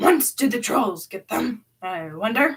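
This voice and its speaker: In a put-on character voice, a woman speaks raspily at a fairly slow pace with a fairly high pitch. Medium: read story.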